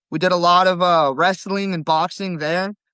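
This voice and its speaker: Against a quiet background, a man with a Californian accent talks at a fairly quick pace and a high pitch, with ordinary pitch variation. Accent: General American (California). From California, Stockton area. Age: 20s. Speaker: jiu-jitsu competitor. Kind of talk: podcast interview.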